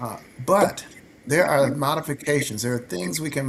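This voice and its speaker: With an ordinary speaking voice, a man talks at a moderate pace, fairly high in pitch, his intonation lively. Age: 60s. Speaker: physician. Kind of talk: health talk show discussion.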